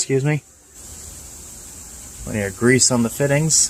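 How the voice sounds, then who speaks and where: Noticeable background noise, fairly even intonation and a moderate pace. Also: man. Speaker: car reviewer. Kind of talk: walkaround car review. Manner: casual, hesitant with many fillers.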